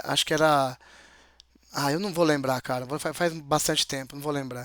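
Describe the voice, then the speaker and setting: The man's speech comes fairly quickly, with pitch that varies in an ordinary way. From interior of São Paulo state, Brazil. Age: 40s. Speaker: interview guest, mechanical technician. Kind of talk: casual interview chat. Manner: halting, with many hesitations.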